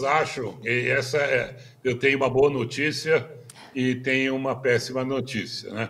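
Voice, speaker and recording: Noticeable background noise behind a man's medium-pitched voice, fairly slow pace and ordinary pitch variation. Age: 80s+. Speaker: business consultant and speaker. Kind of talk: interview. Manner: halting, many fillers.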